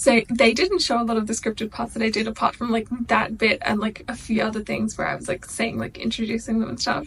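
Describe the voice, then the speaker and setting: Over noticeable background noise, a woman with a fairly high pitch speaks at a very fast pace. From Australia. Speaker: YouTuber. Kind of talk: casual reaction video chat. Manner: animated.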